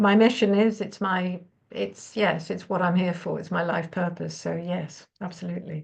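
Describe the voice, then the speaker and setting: At a moderate pace, a woman with fairly low pitch and vocal fry speaks in fairly even intonation. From Netherlands. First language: Dutch. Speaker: numerologist and sound healer. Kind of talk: interview conversation.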